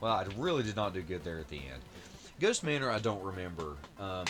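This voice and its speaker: Music plays behind a man with a very deep, low voice. He mumbles at a very fast pace. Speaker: retro gaming YouTuber. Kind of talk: gameplay commentary. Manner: mumbling; halting, many fillers.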